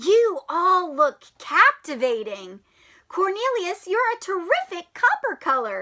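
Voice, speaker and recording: In a put-on character voice, a woman speaks at an extremely high pitch with very wide pitch swings. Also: fairly slow pace. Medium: read story. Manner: cheerful, kind.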